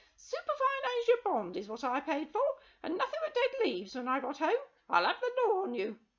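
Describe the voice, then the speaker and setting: A shrill, extremely high put-on character voice, raised and projected, at a fairly quick pace with very wide pitch swings. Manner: complaining angrily.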